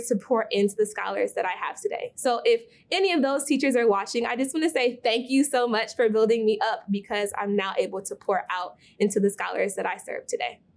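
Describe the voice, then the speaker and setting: A woman with an American accent speaks at a fairly quick pace with hardly any pauses, her fairly high pitch and lively intonation carried by an unremarkable speaking voice. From Milwaukee, Wisconsin. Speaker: teacher. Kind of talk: recorded testimony.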